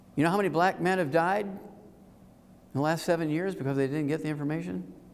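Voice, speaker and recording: A man speaks at a very fast pace and a fairly high pitch, with ordinary pitch variation. Audible room echo surrounds the recording. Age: 70s. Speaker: health speaker. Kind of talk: seminar talk to live audience. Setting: room with live audience. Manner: animated.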